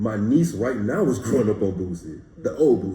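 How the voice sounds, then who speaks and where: A man's fairly low, somewhat breathy voice of dark, mellow tone, with lively intonation and audible room echo. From Louisiana, Baton Rouge. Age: 20s. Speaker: rapper. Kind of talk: casual interview.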